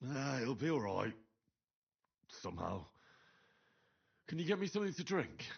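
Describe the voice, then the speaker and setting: Putting on a raspy character voice, a man with a fairly high pitch makes very wide pitch swings at a moderate pace, leaving long, frequent pauses. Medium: video game. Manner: sluggish, sighing.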